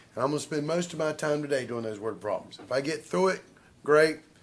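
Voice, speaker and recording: A fairly high male voice with audible room echo. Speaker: math professor. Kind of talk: lecture. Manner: casual, conversational.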